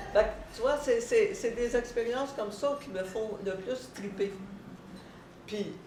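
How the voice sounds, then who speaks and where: A woman's fairly high voice in a Quebec accent, very slow with long, frequent pauses, ordinary pitch variation, audible room echo and noticeable background noise. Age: 80s+. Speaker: stretching instructor. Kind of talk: talk to an audience. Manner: halting, repeats words.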